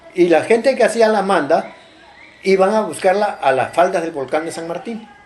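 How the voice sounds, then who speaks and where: Noticeable background noise surrounds a man's voice. He speaks at a high pitch with ordinary pitch variation. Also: moderate pace. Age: 70s. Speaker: local chronicler. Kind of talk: interview. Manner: halting.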